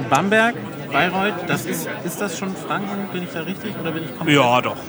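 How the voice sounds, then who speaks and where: Crowd noise sits in the background of this recording, which carries audible room echo. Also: man. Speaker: podcast host. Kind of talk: casual chat.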